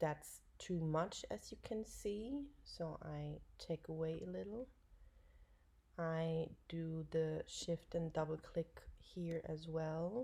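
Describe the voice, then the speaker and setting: Her pace is very slow. The woman talks with a German accent. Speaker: dog photographer. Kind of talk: tutorial. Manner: halting.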